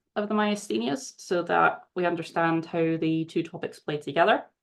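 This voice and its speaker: Over a quiet background, a woman with a Glaswegian accent speaks at a fairly low pitch and moderate pace with ordinary pitch variation. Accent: Scottish, Glaswegian. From Scotland, Glasgow. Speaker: charity research manager, former scientist. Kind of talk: webinar presentation. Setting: video call webinar.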